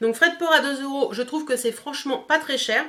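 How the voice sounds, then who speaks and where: A woman with a high pitch and ordinary pitch variation speaks in a raised, projected voice over noticeable background noise. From northern France, Picardy. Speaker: beauty youtuber. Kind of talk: product review vlog. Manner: fast; hesitant, many fillers.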